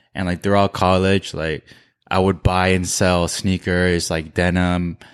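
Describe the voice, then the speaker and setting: Against a quiet background, a man with a New Jersey accent and a very deep, low pitch speaks at a fairly slow pace in a monotone, flat intonation. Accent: American (New Jersey). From New Jersey, US (Korean American family). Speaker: streetwear brand founder. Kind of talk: casual interview chat.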